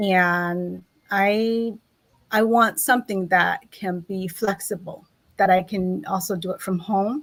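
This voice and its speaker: A woman's medium-pitched voice at a very slow pace, with fairly even intonation, on a very clean recording with a silent background. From Laos. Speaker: accountant and online business owner. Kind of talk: interview. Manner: halting.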